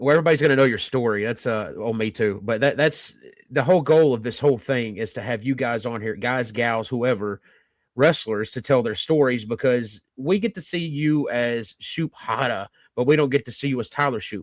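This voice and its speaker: The recording is very clean, with a silent background. A man of medium pitch speaks at a moderate pace with ordinary pitch variation. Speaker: podcast co-host. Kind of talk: casual interview. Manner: loud.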